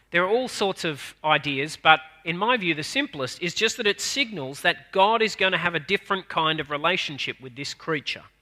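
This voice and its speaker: A man with an Australian accent speaks fairly quickly in a high, bright, sharp voice with lively intonation. The recording is very clean, with a silent background. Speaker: minister. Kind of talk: sermon. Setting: church.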